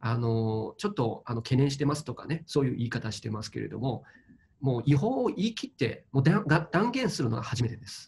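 A man with a Chinese accent talks at a fairly quick pace in a fairly high, somewhat breathy voice, with lively intonation and big swings in loudness over light background noise. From China. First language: Chinese (speaking Japanese). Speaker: crypto investment commentator. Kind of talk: interview commentary. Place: home room. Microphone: webcam.

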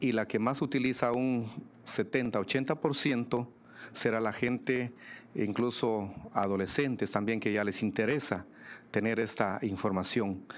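A man at a very slow pace, with very even loudness. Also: ordinary pitch variation. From Guatemala. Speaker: mayor; mayor, panelist. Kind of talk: panel presentation; panel discussion answer. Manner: frequent hesitations with filler este. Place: meeting room. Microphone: podium.

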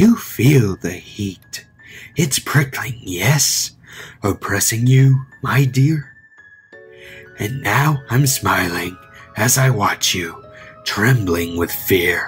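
With faint music in the background, a man uses a put-on character voice at a medium pitch and a very slow pace. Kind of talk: creepypasta horror poem reading. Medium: read story. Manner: taunting, menacing, mock-sweet.

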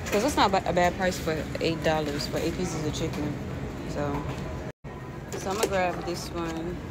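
Loud background noise fills the clip. Over it, a woman speaks at a moderate pace. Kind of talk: casual vlog chat. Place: shop. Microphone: phone near.

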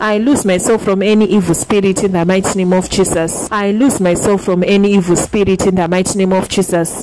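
A woman speaks at medium pitch and a fairly quick pace. Her intonation is fairly even, and there is noticeable background noise. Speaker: prayer leader. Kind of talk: fervent call-and-repeat deliverance prayer, one decree repeated over and over. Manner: insistent, relentless repetition of the same declaration; commanding, urging listeners to pray loud.

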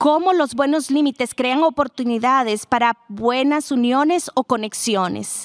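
The woman's voice sits high in pitch with ordinary variation, recorded with a dry, close sound and no echo. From Texas. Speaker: speaker on blended families. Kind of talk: talk to live audience.

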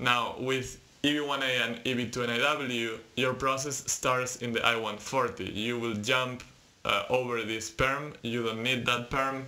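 A man speaks at a very slow pace. His intonation stays monotone and flat. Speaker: presenter. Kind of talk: tutorial. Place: home room. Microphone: webcam.

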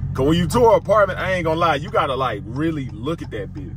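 Lively intonation at a fairly quick pace, dry with no echo, over noticeable background noise. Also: man. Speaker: vlogger driving. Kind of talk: casual vlog chat. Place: car. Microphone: phone near.

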